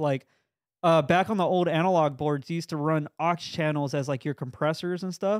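A man talks at a fairly quick pace in a plain, everyday voice, fairly high in pitch with fairly even intonation, on a very clean recording with a silent background and a dry, close sound with no echo. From Mexican-American family. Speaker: podcast co-host. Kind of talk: casual chat. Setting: studio.

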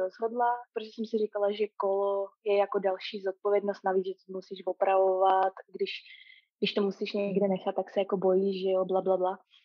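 Delivered at a fairly quick pace, this is a normal speaking voice. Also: woman. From Prague, Czechia. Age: 30s. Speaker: long-distance hiker. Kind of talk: casual interview. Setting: remote call.

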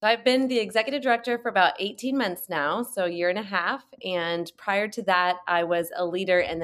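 Pitch varies in an ordinary way as the speaking goes along at a moderate pace. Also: woman. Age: 40s. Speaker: nonprofit executive director. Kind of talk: interview. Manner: animated.

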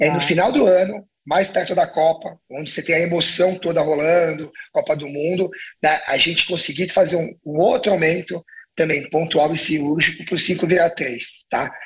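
With fairly even intonation, a man talks in a high pitch. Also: moderate pace. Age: 40s. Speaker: restaurant entrepreneur. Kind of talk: casual interview.

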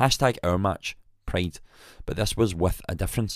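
On a very clean recording, with a silent background, a man speaks. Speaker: podcast host. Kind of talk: scripted narration.

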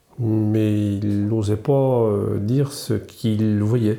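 A man talks in a medium pitch. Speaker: retired business owner. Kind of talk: casual chat.

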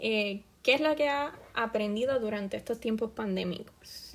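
Speaking at a moderate pace, a woman uses a fairly high voice with ordinary pitch variation. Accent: Puerto Rican. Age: 20s. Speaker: podcast host and student. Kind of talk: self-interview monologue.

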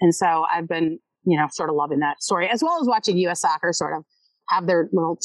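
Recorded dry and close with no echo, a woman with a plain, everyday voice talks at a fairly quick pace. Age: 40s. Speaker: sportswriter and author. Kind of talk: casual interview chat. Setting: podcast recording.

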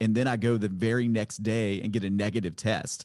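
Dark and mellow in tone, a man with an American accent talks at a medium pitch with fairly even intonation. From Virginia, small town. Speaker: podcast host, former pastor. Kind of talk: interview.

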